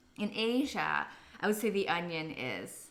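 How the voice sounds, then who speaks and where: A woman with a Canadian accent speaks at a very slow pace, with audible room echo. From Canada. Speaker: cooking livestreamer. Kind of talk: live cooking stream chat.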